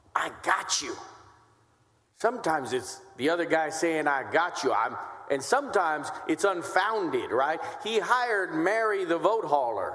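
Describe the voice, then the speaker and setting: A high-pitched man speaks with lively intonation in an animated tone. Noticeable background noise and audible room echo fill the recording. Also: moderate pace. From Texas, west side of San Antonio. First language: Spanish. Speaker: state senator. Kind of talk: legislative floor debate. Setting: senate chamber.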